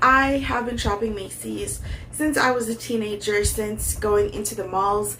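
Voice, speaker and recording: A woman speaks at a fairly slow pace. Room echo and background noise are both noticeable. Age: 30s. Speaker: fashion YouTuber. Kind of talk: casual vlog try-on haul. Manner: hesitant with many fillers.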